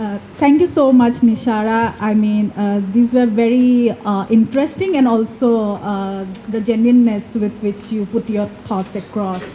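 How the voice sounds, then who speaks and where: Over noticeable background noise, a woman with an Assam accent speaks at a fairly slow pace and a fairly high pitch, with ordinary pitch variation. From India, Assam. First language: Assamese. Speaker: event moderator. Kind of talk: moderated discussion. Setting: bookshop event with small audience. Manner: halting with many fillers.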